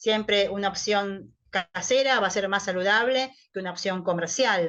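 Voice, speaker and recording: A woman speaks in an ordinary speaking voice at a medium pitch. Her pace is moderate and her pitch varies in an ordinary way. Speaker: nutritionist. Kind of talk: online talk to patients.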